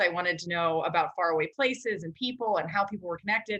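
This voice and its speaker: A woman with an American accent talks fairly quickly, using lively intonation and a bright, sharp tone. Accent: Minnesota accent, slight, trained down. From Minnesota, Maple Grove. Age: 40s. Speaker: news correspondent. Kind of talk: casual interview.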